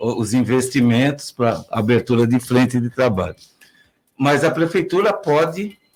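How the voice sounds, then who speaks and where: Lively in intonation, a man with a medium pitch speaks at a fairly slow pace. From Brazil, Piracicaba (São Paulo state). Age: 60s. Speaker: mayoral candidate, retired civil servant. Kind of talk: political interview. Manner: halting.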